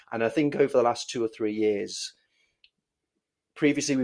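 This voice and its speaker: Against a quiet background, a man speaks with an English accent. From Wales. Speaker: dodgeball team coach. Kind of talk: podcast interview. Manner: halting, many fillers and repetitions.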